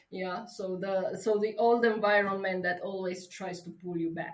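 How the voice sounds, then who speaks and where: A woman with a Romanian accent speaks at a fairly slow pace with ordinary pitch variation, and audible room echo surrounds her voice. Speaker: travel coach and writer. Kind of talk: interview. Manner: halting.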